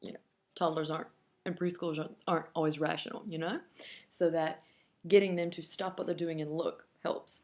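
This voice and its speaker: A woman at a fairly low pitch, fairly quick yet with long, frequent pauses, in monotone, flat intonation. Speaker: parenting blogger. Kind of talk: tutorial. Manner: loud; casual, conversational with fillers.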